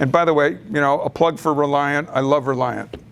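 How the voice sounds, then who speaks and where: A man talks at a moderate pace in a plain, everyday voice. He has an American accent and fairly even intonation. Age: 60s. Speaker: real estate investor, presenter. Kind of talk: presentation at a meeting.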